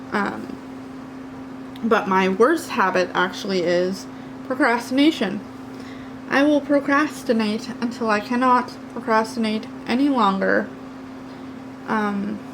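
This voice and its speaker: A woman with a Canadian accent talks at a fairly slow pace, with long, frequent pauses and ordinary pitch variation. Audible room echo and noticeable background noise are present. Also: fairly high pitch for a woman. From Canada, New Brunswick. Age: 30s. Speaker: craft youtuber. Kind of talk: casual chat. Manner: loud.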